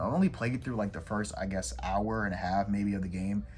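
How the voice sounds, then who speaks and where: A man's voice with audible room echo. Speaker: gaming YouTuber. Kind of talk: casual room tour vlog. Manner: fast; stuttering over words.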